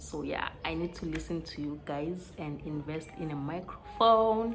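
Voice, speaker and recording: A woman speaks quietly at a fairly slow pace with a very deep, low pitch. Her pitch varies in an ordinary way, and the room echo is audible. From South Africa. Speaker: vlogger. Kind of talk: casual vlog. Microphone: no microphone, poor sound.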